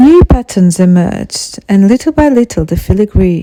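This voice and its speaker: A woman speaks at a moderate pace with a dry, close sound and no echo, against noticeable background noise. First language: Portuguese. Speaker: podcast host. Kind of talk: scripted narration.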